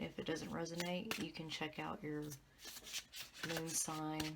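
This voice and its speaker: Quietly, a woman speaks with a very deep, low pitch and fairly even intonation. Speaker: tarot reader. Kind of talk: tarot reading. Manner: quiet, low voice. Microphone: audio issues, fix coming.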